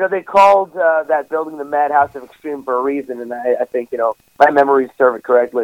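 With an American accent, a man talks very fast with hardly any pauses and ordinary pitch variation. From New York. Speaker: professional wrestler. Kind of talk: interview.

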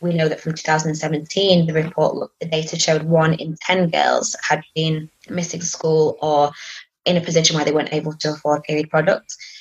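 With an English accent, a woman speaks at a moderate pace in a very deep, low pitch and a monotone, flat intonation. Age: 30s. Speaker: charity operations manager. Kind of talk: interview. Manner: hesitant, many fillers.

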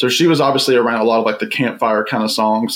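In an unremarkable speaking voice, a man with an American accent talks at medium pitch with ordinary pitch variation. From US South, Virginia. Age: 20s. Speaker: YouTuber and record collector. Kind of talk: casual chat.

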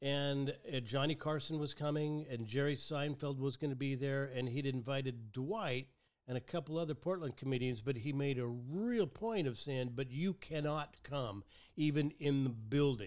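Talking in a plain, everyday voice, a man with a fairly high pitch keeps a moderate pace. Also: ordinary pitch variation. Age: 60s. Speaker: podcast host. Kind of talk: casual chat. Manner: chatty, joking.

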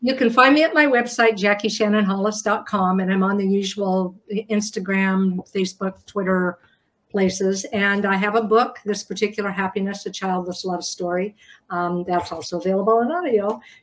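Medium pitch, fairly even intonation and a moderate pace in a woman's plain, everyday voice. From US rural farm town. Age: 60s. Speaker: memoir author. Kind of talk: panel discussion.

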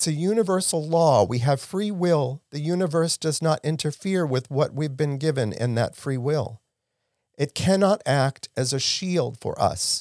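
A man's fairly high voice with lively intonation, very clean and silent in the background, dry and close with no echo. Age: 60s. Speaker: spiritual podcast host. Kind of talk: inspirational talk. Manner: animated.

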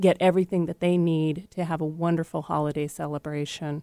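A woman at a moderate pace, a plain, everyday voice, fairly even intonation, on a very clean recording with a silent background. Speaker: nonprofit representative. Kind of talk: radio interview promoting community events.

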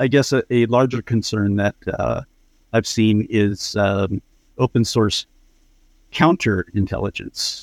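With an American accent, a man speaks very slowly at a medium pitch with ordinary pitch variation, very even loudness and long, frequent pauses, in a dry, close sound with no echo. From San Diego, US. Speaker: small business caller. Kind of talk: call-in question. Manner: halting.

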